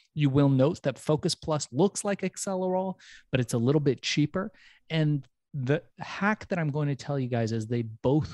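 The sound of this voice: With lively intonation and a dark, mellow tone, a man speaks at a moderate pace in a fairly high pitch, the sound dry and close with no echo over a quiet background.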